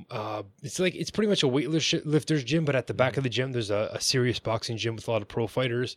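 In a very clean recording with a silent background and a dry, close sound with no echo, a man with a plain, everyday voice speaks in a Canadian accent at a medium pitch with ordinary pitch variation. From Ontario, Canada. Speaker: boxer. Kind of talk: casual interview chat.

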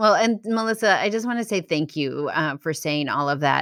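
The speaker has an American accent and lively intonation. It is a very clean recording with a silent background. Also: woman. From Massachusetts, suburb of Boston. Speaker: adoption organization founder. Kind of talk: interview. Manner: halting, many fillers.

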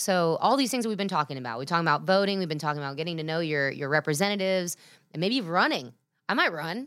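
Very fast and animated, a woman speaks with lively intonation and a fairly low pitch. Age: 30s. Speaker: podcast host. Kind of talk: casual interview chat.

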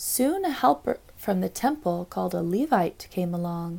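Somewhat breathy and gentle, a woman speaks at a fairly slow pace with a dark, mellow tone. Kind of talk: literary audiobook reading of a rhyming children's Bible story. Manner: gentle, storytelling cadence with sing-song rhyme rhythm; warm, measured, read aloud for children.

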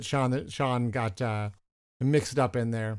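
Recorded very cleanly against a silent background, a man has an ordinary speaking voice at medium pitch, moving at a fairly slow pace with ordinary pitch variation. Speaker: podcast host and naturalist.

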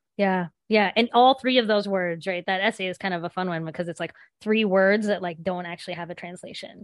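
A woman with a medium pitch speaks at a fairly quick pace with hardly any pauses, fairly even intonation and big swings in loudness. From southern West Virginia. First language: Gujarati. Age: 40s. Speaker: teacher and author. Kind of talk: interview conversation. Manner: casual, frequent fillers like um and like.

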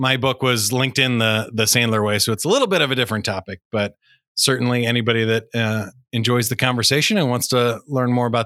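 Speaking with a Midwestern accent at a very fast pace, a man has a bright, sharp tone and very even loudness on a very clean recording with a silent background. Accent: General American (Midwest). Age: 40s. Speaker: public speaker and podcast host. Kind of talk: interview. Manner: animated.

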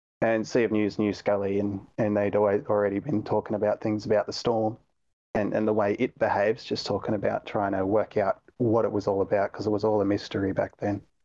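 A man with an Australian accent speaks at a fairly quick pace in a fairly low, dark, mellow voice, monotone and flat, with very even loudness over a quiet background. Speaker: gaming community moderator. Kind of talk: casual chat.

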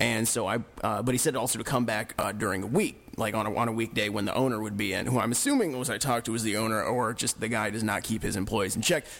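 A man at a medium pitch talks at a very fast pace with hardly any pauses. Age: 20s. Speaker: radio co-host. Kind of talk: casual chat; reading aloud. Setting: studio.

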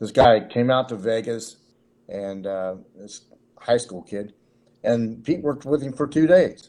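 This voice carries an American accent. Its tone is dark and mellow. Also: man. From Cincinnati, Ohio. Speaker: author and sports entertainment figure. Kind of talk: casual interview chat.

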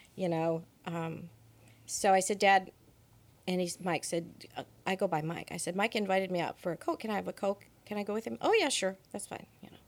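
A woman with an American accent speaks in an unremarkable speaking voice at a moderate pace, her medium pitch showing ordinary variation. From US West Coast, Monterey Peninsula. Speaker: church member. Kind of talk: interview.

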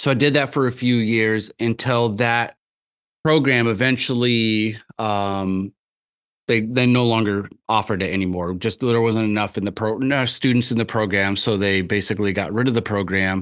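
In a quiet background, a man with an American accent and a normal speaking voice talks at a moderate pace and medium pitch with fairly even intonation. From US Midwest, rural Iowa (Tama). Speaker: magazine founder and university lecturer. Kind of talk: casual chat. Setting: video call.

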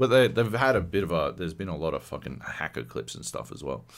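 With vocal fry and a fairly quick pace, a man talks in very wide pitch swings. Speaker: podcast host. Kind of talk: casual chat, heavily swearing.

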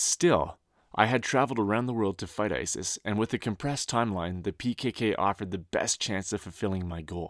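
A man with an unremarkable speaking voice and a Canadian accent, fairly low in pitch with ordinary variation, at a moderate pace, on a very clean recording with a silent background and a dry, close sound with no echo. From rural Ontario, Canada. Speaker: author and war veteran. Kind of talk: audiobook narration.

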